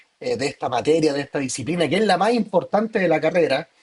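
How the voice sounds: A man speaks quickly in a fairly high voice, his intonation lively and his tone carrying a slightly husky edge.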